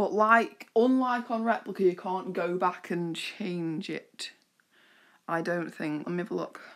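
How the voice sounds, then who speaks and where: A woman's medium-pitched voice with a British accent, ordinary pitch variation and a fairly slow pace, on a very clean recording with a silent background. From UK. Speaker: YouTuber. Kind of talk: casual vlog commentary.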